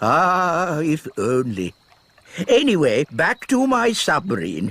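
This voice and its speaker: A man does a cartoonish character voice, fairly high in pitch. He moves at a fairly slow pace with very wide pitch swings. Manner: fussy, flustered.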